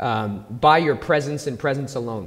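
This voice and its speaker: An ordinary speaking voice with ordinary pitch variation comes through over light background noise. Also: man. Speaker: pastor. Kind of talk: sermon intro and prayer in church. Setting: church. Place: stage. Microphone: handheld.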